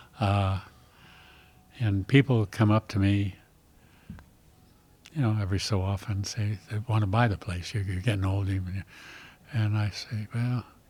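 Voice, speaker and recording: Moderate pace with long, frequent pauses, an American accent, a somewhat breathy quality and fairly even intonation. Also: man. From US West Coast. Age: 80s+. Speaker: winery owner. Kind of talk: casual chat.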